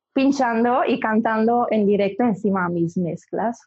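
In an Italian accent, a woman talks at a fairly slow pace. Her voice is fairly high and somewhat breathy. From Italy, Milan. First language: Italian (speaking Spanish). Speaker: singer and DJ. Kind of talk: interview.

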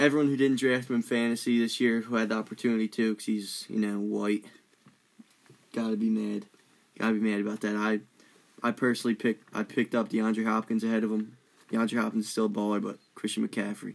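A man's very fast, monotone delivery at medium pitch, flat in intonation. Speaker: guest, sports fan. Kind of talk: casual sports banter.

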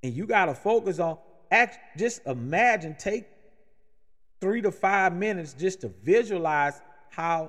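With an American accent and a high voice, a man talks at a fairly slow pace with lively intonation and long, frequent pauses. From New Orleans, Louisiana, US South. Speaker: podcast host, sales manager. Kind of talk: motivational talk.

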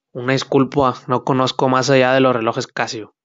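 A man's medium-pitched voice stays monotone and flat as he talks at a moderate speed. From Mexico, Sinaloa (Culiacán). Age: 20s. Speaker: podcaster. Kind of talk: casual monologue. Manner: halting.

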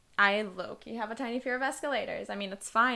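The voice has vocal fry and a bright, sharp tone, rushing along at a very fast pace. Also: woman. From New York City, Queens. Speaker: podcast co-host. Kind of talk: casual chat.

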